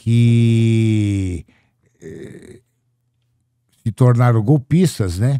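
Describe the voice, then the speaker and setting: A man talks with a dark, mellow tone and ordinary pitch variation. The sound is dry and close, with no echo. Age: 60s. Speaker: debt collector. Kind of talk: casual chat. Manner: animated.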